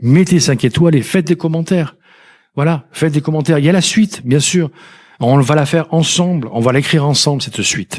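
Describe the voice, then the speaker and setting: A man talks at a fairly quick pace. His voice is fairly high in pitch, with ordinary pitch variation. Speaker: podcast host, personal development coach. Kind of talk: solo podcast monologue. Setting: alone at a microphone. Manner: fast; stumbles over words.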